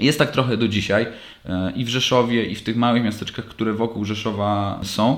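The man talks at a fairly quick pace in a monotone, flat intonation. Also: medium pitch for a man. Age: 30s. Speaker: podcast host, lacrosse player. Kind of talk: solo monologue podcast. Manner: casual, halting with fillers.

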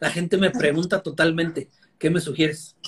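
Music plays in the background as a man with a fairly high pitch speaks at a moderate pace. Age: 40s. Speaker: meat importer and online seller. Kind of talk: interview.

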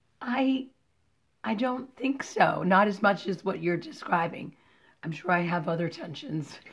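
A woman speaks at a fairly slow pace in a medium, somewhat breathy voice with very wide pitch swings. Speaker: podcast co-host and writer. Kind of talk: casual chat.

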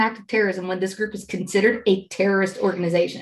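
A somewhat breathy woman at a very fast pace, her intonation fairly even. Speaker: guest, mother. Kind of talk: casual chat.

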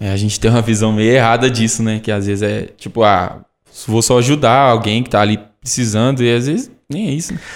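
A man talks in a plain, everyday voice at a fairly quick pace, medium in pitch with fairly even intonation. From Brazil, Caeté, Minas Gerais. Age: 20s. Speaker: sanctuary staff member asking questions. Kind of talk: casual Q&A conversation.

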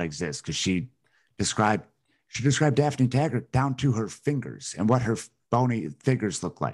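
A man talks at a moderate pace with a medium pitch, ordinary pitch variation and vocal fry. His tone is animated, and the background is quiet. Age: 30s. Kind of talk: casual chat. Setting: video call.

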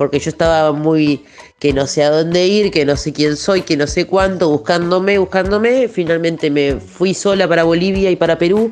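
Someone with an Argentine accent talks at a moderate pace, keeping the loudness very even and the pitch variation ordinary. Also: woman, fairly low pitch for a woman. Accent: Rioplatense Argentine Spanish. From Buenos Aires, Argentina. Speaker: singer-songwriter. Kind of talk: interview. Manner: hesitant with fillers.

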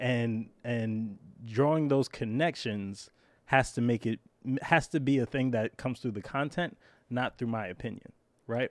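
A man with an ordinary speaking voice, medium pitch and ordinary pitch variation, talking at a moderate pace on a very clean recording with a silent background. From Brooklyn, New York. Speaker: podcast host and English teacher. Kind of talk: casual interview.

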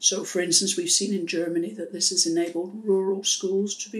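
A woman talks with a Welsh accent. Her pace is moderate and her pitch variation ordinary. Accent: Welsh-tinged British English. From South Wales, UK (Pontypool). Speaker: international development expert. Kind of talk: interview. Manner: measured.

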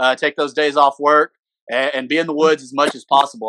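A man with an Arkansas accent, fairly high pitch, bright, sharp tone and fairly quick pace, in a dry, close sound with no echo. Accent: US Southern (Arkansas). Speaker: podcast co-host, hunter. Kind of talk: casual chat.

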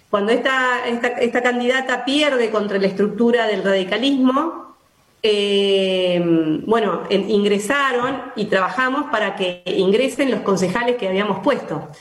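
Fairly slow speech from a woman at a fairly high pitch, with ordinary pitch variation, audible room echo and noticeable background noise. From Argentina, Buenos Aires province (Alberti). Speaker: local politician. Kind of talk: radio interview. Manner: halting, many fillers.

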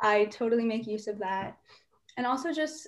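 A woman with a plain, everyday voice and a fairly high pitch talks at a moderate pace. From US, Indian-American (New Jersey). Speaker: pre-med student, nonprofit co-founder. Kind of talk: interview.

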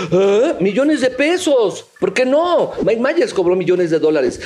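Very wide pitch swings from a man speaking at a moderate speed. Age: 50s. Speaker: voice actor. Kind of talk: heated debate.

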